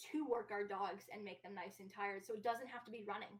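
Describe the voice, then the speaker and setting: This woman talks at a fairly quick pace. Her voice sits at a medium pitch. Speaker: professional dog trainer. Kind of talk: educational discussion.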